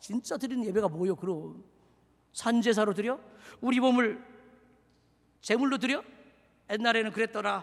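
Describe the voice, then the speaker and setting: A man speaks at a moderate pace in a high pitch with ordinary pitch variation. He leaves long, frequent pauses. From Seoul. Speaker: pastor. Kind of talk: sermon. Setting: church. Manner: animated.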